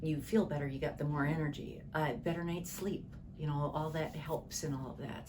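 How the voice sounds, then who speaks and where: A woman's very deep, low voice at a fairly quick pace, with audible room echo and noticeable background noise. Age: 60s. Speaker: client giving testimonial. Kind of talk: interview testimony. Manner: halting.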